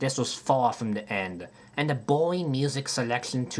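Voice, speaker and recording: At a moderate pace, a man speaks in a plain, everyday voice with a medium pitch and ordinary pitch variation. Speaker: gaming video creator. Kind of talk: video game retrospective narration.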